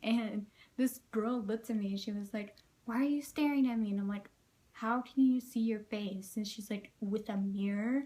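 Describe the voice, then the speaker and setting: Soft-spoken and somewhat breathy, the voice has a dark, mellow tone. Its intonation is fairly even and its pace is moderate. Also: woman, fairly high pitch for a woman. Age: 18. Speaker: vlogger. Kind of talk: casual vlog monologue.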